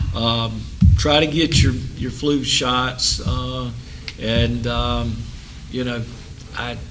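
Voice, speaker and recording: Amid audible room echo and noticeable background noise, a man talks at a very slow pace. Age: 60s. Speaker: city council member. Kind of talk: council meeting remarks. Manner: halting, many fillers.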